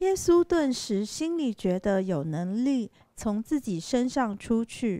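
A woman with a fairly high pitch speaks at a very slow pace, her pitch swinging very widely. The sound is dry and close, with no echo. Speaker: scripture reader at a church service. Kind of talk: reading aloud. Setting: church.

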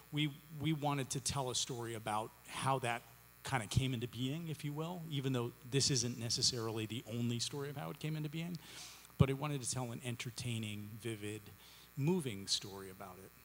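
A man talks at a fairly quick pace with ordinary pitch variation. His loudness swings widely over light background noise. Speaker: playwright on a panel. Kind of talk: interview answer. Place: stage. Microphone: studio mic.

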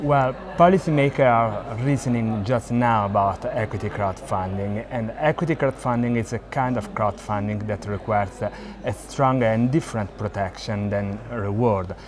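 A man at a moderate pace with hardly any pauses, ordinary pitch variation, and noticeable background noise. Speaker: interviewee. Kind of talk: interview answer. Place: hall. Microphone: lapel.

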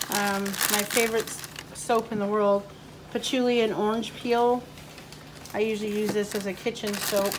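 Over noticeable background noise, a woman speaks at a fairly slow pace with monotone, flat intonation. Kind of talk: casual vlog chat. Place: home room. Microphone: phone near.

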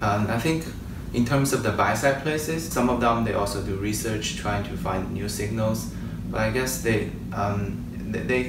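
With noticeable background noise and audible room echo, a man speaks at a moderate pace with ordinary pitch variation. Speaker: interview guest, quant analyst. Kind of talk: interview answer. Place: home room. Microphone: camera far.

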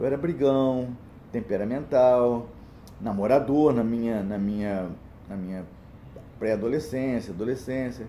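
Speaking at a fairly slow pace with long, frequent pauses, the voice has a dark, mellow tone over light background noise. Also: man, ordinary pitch variation. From Brazil, small interior town. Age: 60s. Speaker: church deacon giving a talk. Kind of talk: personal testimony talk. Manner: halting, with repetitions. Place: home room. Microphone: phone near.

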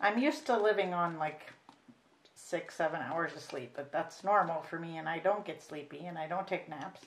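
A woman with an American accent speaks at a fairly low pitch and a moderate pace, with ordinary pitch variation. Her loudness swings widely, and there is light background noise. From US Midwest. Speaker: reborn doll artist, video creator. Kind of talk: painting tutorial. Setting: home craft table, camera. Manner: casual, halting with fillers. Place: home room. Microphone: camera far.

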